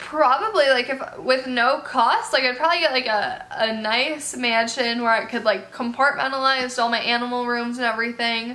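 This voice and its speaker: A woman speaks at a high pitch with ordinary pitch variation. She keeps a moderate pace with hardly any pauses. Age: 18. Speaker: animal youtuber. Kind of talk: casual Q&A vlog. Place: home room.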